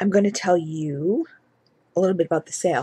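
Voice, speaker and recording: Quiet and fairly low-pitched, a woman speaks in a dark, mellow tone with ordinary pitch variation. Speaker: beauty and home fragrance vlogger; home fragrance vlogger. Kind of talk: product haul video. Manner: quiet, hushed. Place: home room. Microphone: webcam.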